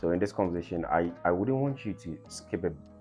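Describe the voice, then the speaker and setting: Music plays behind a man whose voice is very deep and low, spoken at a moderate pace. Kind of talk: podcast intro to camera.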